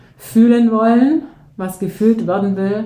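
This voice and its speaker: At a fairly slow pace, a dark, mellow voice shows ordinary pitch variation, with audible room echo. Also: woman. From southern Germany, near Ulm (Swabia). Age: 40s. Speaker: teacher and coach. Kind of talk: interview. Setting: in person, studio.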